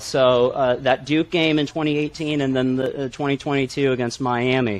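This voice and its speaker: Here a man with an American accent and a normal speaking voice uses a fairly high pitch with ordinary pitch variation. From central Illinois. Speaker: student superfan. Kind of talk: casual interview.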